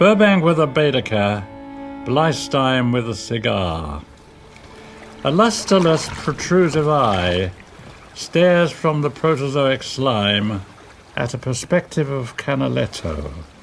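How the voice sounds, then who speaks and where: Over noticeable background noise, a man at medium pitch talks very slowly with very wide pitch swings and long, frequent pauses. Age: 90s. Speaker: poet reading his own poem. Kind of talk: poetry reading.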